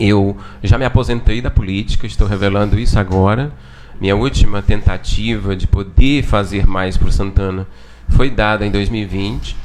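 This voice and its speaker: His pitch is fairly low with ordinary variation, and the man keeps to a moderate pace. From São Paulo, Brazil. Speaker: former local political candidate. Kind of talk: podcast interview. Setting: studio.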